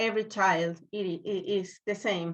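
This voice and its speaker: A woman speaks very slowly with a Spanish accent. The background is quiet. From Venezuela, Maracaibo. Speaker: children's book author. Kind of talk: interview. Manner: halting.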